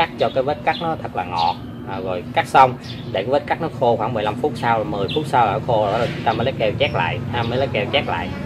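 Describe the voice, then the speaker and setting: A man speaks fairly quickly, with ordinary pitch variation and noticeable noise in the background. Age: 30s. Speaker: orchid-growing YouTuber. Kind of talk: tutorial. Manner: halting, many fillers. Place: garden.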